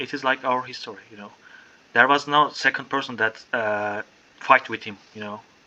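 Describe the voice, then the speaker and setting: A man with a medium pitch keeps a moderate pace and fairly even intonation while background noise remains noticeable. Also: big swings in loudness. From Turkey. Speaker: English learner, pastry chef. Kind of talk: casual conversation practice.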